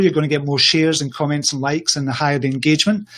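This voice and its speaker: Scottish-accented male speech. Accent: Scottish, noted by listener as appealing. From Scotland. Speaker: social media entrepreneur and coach. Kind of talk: interview on a livestream show. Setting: livestream video call.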